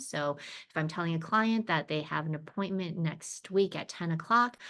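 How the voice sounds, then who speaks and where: A woman's unremarkable speaking voice, fairly low in pitch with ordinary pitch variation, at a moderate pace over a quiet background. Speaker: brain injury professional presenting a training. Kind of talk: educational presentation. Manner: many fillers and restarts.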